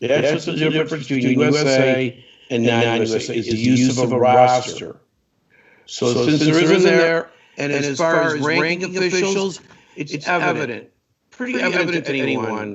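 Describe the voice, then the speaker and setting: A normal speaking voice from a man, fairly high-pitched, moderately paced, with ordinary pitch variation. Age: 60s. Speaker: hockey referee assigner. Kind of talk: interview on live stream show.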